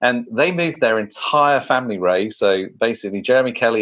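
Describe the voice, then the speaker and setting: Speaking fairly quickly in a southern English accent, the voice shows ordinary pitch variation. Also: man. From England. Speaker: leadership consultant and co-founder. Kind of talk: podcast interview.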